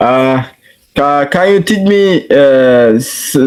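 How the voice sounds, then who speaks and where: A man with a Somali accent talks at a very slow pace with lively intonation. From Somalia. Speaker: English learner. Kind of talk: casual chat. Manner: halting.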